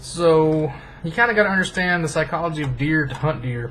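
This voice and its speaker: Noticeable background noise surrounds a man whose voice has ordinary pitch variation. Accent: American. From rural US. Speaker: hunting video YouTuber. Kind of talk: casual vlog narration. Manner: casual, joking.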